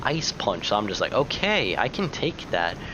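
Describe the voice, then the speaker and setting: A man's voice comes at a moderate pace. Behind it there is noticeable background noise. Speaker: gaming youtuber. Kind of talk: gameplay commentary.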